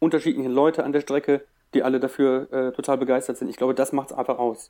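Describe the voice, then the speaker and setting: A man talks at a very fast pace, his pitch fairly high and his tone dark and mellow. The recording is very clean, with a silent background. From Germany, Wuppertal. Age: 30s. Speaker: ultramarathon race organizer. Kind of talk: casual chat.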